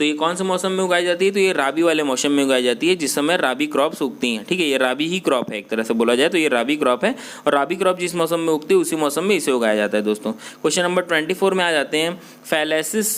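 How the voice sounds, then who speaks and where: A man with a non-native accent talks at a moderate pace in a fairly high voice with lively intonation. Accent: self-described weak Hindi pronunciation. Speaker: online exam-prep teacher. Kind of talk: tutorial. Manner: halting, many fillers and restarts.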